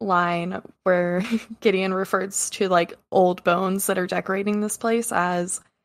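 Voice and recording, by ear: Someone reads the text aloud in a natural voice, keeping the intonation fairly even.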